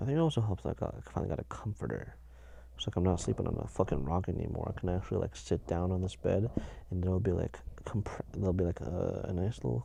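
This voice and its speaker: With a very deep, low pitch and vocal fry, a man rushes at a very fast pace, his dark, mellow tone swinging very widely in pitch. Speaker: podcast host. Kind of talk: casual solo chat. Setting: in bed under a blanket, home sound booth. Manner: halting, many fillers.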